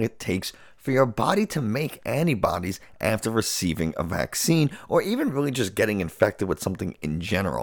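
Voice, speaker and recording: Vocal fry and very wide pitch swings at a moderate pace, on a very clean recording with a silent background. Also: man. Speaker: neuroscientist, podcast co-host. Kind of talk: casual chat. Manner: loud.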